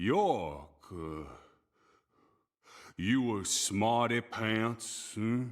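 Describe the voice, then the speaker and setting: In a put-on character voice with a rural American accent, a man speaks at a very slow pace and medium pitch, leaving long, frequent pauses. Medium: video game. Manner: slow, simple, mumbling.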